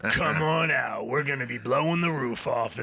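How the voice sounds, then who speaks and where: Putting on a raspy character voice, a man speaks at a fairly high pitch and moderate pace. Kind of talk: announcer. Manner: loud, hyped.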